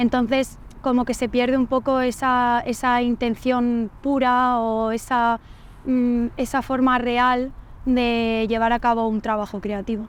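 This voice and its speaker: At a very slow pace, a woman with a high pitch keeps a monotone, flat intonation and very even loudness. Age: 20s. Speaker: university journalism student. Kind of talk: casual interview. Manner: hesitant, with fillers.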